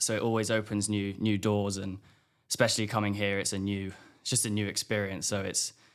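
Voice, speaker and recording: Fairly low in pitch, a man talks at a fairly quick pace in a very clean recording with a silent background. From southwest England. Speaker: college golfer. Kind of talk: podcast interview.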